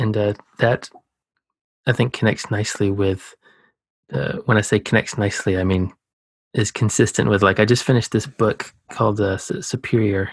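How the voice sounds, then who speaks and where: Somewhat breathy and fairly low, a man with an American accent speaks at a moderate pace with fairly even intonation and long, frequent pauses, recorded with a dry, close sound with no echo and a quiet background. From US South, Georgia. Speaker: podcast host, oceanographer. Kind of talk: casual interview conversation. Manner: calm.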